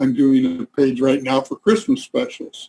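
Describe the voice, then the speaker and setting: A dark, mellow tone with monotone, flat intonation, a fairly slow pace and a dry, close sound with no echo. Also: man. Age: 70s. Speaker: author and researcher. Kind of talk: interview.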